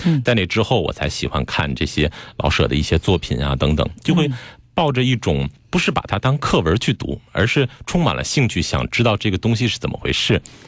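Using very wide pitch swings and vocal fry, a man talks at a fairly quick pace in a fairly low pitch. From Beijing. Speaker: psychotherapist. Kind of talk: interview. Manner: clear articulation, trained delivery.

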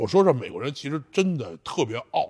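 A very clean recording with a silent background captures a man in a plain, everyday voice, speaking at a moderate pace with lively intonation. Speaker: strongman athlete. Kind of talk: casual interview chat. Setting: training gym.

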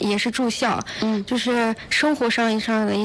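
A woman with a fairly high pitch and fairly even intonation, over noticeable background noise. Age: 19. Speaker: student. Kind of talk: radio interview. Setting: radio studio.

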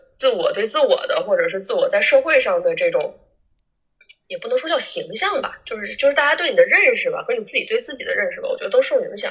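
A woman speaks very fast in a Northeastern Chinese accent at an extremely high pitch. Her loudness swings a lot. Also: lively intonation. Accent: Northeastern Mandarin (Changchun). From Northeast China, Changchun. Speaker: former social media influencer. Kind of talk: casual chat. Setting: remote call.

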